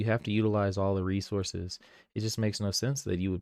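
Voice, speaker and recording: Recorded very cleanly against a silent background, a man with a fairly low pitch and ordinary pitch variation speaks in dry, close sound with no echo. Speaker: livestreamer and content creator. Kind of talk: casual live stream commentary while editing. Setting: live stream. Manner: rambling with fillers and repetitions.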